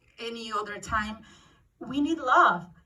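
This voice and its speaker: A woman with a Mexican accent speaks at a fairly high pitch with fairly even intonation. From Mexico. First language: Spanish. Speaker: actress. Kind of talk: emotional speech at press event. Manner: halting.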